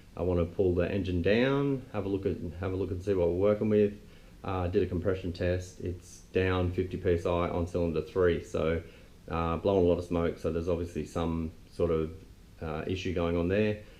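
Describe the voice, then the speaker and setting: A man's very deep, low voice with a dark, mellow tone, an Australian accent, fairly even intonation and a fairly quick pace. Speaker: car restorer, video host. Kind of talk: casual vlog. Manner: monotone.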